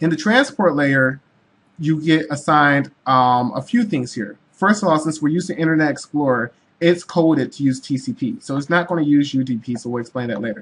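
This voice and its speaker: This man's fairly high voice moves at a fairly quick pace with lively intonation. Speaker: tech tutorial host. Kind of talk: tutorial. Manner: fast; hesitant, many fillers.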